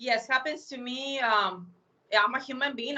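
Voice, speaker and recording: A woman speaks in a high pitch with a bright, sharp tone. Her intonation stays fairly even. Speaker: radio and podcast host. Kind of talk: casual chat.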